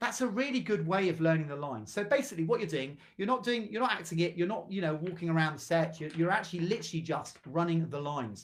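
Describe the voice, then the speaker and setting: High male voice at a very fast pace, animated in tone and lively in intonation. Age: 60s. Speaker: drama teacher and actor. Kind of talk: tutorial.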